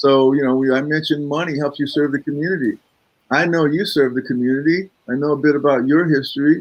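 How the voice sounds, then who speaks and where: His pace is moderate. The man's pitch sits fairly high. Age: 60s. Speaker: financial advisor. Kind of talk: interview conversation. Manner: hesitant, many fillers.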